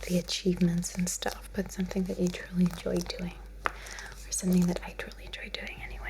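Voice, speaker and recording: Over noticeable background noise, a soft-spoken woman talks at a moderate pace in a relaxed tone. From lived in the Netherlands. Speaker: ASMR creator. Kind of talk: ASMR soft-spoken ramble. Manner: soft-spoken, relaxed.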